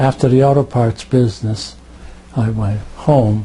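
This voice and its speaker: Speaking with an American accent, a man has a dark, mellow tone and a somewhat breathy voice at medium pitch. His pace is moderate. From Connecticut, New Britain. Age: 80s+. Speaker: war veteran. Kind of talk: oral history interview. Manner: halting, repeats words.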